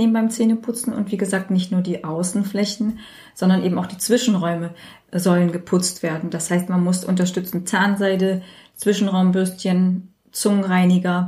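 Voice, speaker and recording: A woman of medium pitch speaks at a moderate pace in a somewhat breathy, dark, mellow tone with monotone, flat intonation. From Germany, Turkish parents. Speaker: dentist. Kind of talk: casual chat. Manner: hesitant, many fillers.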